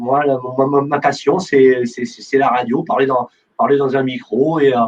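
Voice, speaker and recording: A man speaks at a fairly high pitch. His intonation stays fairly even and his pace is fairly slow. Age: 50s. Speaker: radio host. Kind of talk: interview. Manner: halting, many fillers and repetitions; conversational, unformal.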